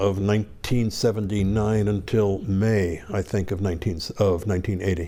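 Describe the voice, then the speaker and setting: With a dark, mellow tone, a man speaks in a northeastern Pennsylvania accent at a moderate pace with fairly even intonation. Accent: northeastern Pennsylvania American. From northeastern Pennsylvania, US. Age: 70s. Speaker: former hostage, diplomat. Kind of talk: interview.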